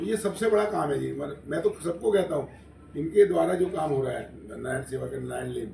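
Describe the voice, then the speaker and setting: A man talks at a moderate speed, with audible room echo and noticeable noise behind him. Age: 70s. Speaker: charity volunteer. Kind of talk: press conference.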